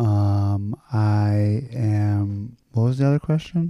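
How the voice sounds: A man's fairly low voice, slow-paced, with ordinary pitch variation.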